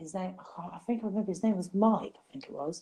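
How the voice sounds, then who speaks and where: A woman with an English accent speaks at a medium pitch. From England. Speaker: survivor of a youth facility. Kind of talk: interview storytelling. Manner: hesitant with many ums.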